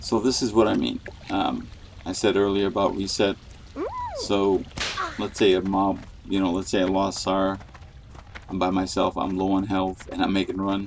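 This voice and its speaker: A soft-spoken man talks at a moderate pace in a fairly low, monotone, flat voice. He leaves long, frequent pauses over noticeable background noise. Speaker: gaming streamer. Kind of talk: gameplay commentary.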